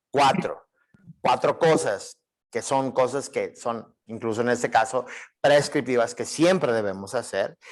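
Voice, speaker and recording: A man with ordinary pitch variation talks at a fairly slow pace. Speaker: Bible teacher. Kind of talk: lecture. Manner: halting, many fillers.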